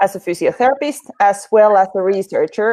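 Over a quiet background, a woman with a Finnish accent speaks with ordinary pitch variation. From Finland. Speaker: veterinary physiotherapist and researcher. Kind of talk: live interview. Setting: live online broadcast. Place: home room. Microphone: video call.

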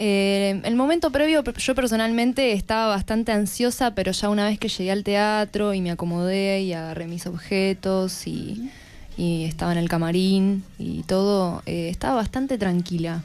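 A woman talks at a moderate pace with hardly any pauses. Her pitch variation is ordinary. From Argentina, Chubut. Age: 20s. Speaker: actress. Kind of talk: radio interview. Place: studio. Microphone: studio mic.

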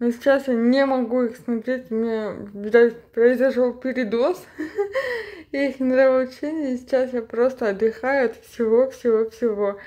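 A woman's high voice with a dark, mellow tone, fairly slow pace and fairly even intonation. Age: 30s. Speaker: cleaning vlogger. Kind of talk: casual voiceover for cleaning vlog.

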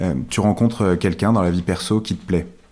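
A man's very deep, low-pitched voice at a very fast pace, with ordinary pitch variation, on a very clean recording with a silent background. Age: 30s. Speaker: startup co-founder. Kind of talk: interview. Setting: at home.

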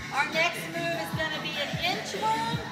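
A woman speaks at a fairly slow pace. Loud music plays in the background. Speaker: fitness instructor. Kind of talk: workout instruction. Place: hall. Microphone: camera far.

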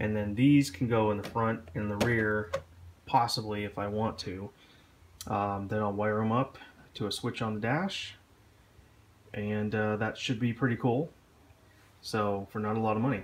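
The pace is moderate and the intonation fairly even. Long pauses come often. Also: man, fairly low pitch for a man. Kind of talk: DIY tutorial narration. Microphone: phone near.

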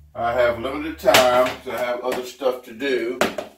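A man speaks at a very slow pace. Audible room echo and light background noise surround him. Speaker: home cooking vlogger. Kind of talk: casual vlog chat. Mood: joking, relaxed. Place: kitchen.

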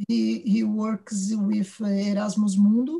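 This woman's pitch is fairly high. She talks at a very slow pace. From Brazil. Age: middle-aged. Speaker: event organizer and moderator; moderator. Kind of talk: moderating a conference. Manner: halting. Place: home room. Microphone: video call.

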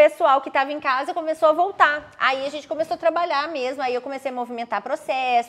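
A woman is speaking. Her pace is fairly quick. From Minas Gerais, Juiz de Fora; Minas Gerais, Brazil. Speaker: court civil servant who passed a public exam; interview guest. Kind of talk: interview testimony. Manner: animated. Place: home room.

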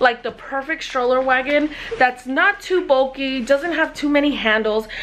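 At a moderate pace, a woman speaks with a high pitch and ordinary pitch variation. Light background noise is present. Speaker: parent vlogger. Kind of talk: casual vlog chat. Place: home room. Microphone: phone near.

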